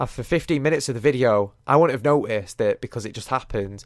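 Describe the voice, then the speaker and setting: With an English accent, a man talks at a very fast pace on a very clean recording with a silent background. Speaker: YouTuber. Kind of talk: casual podcast monologue.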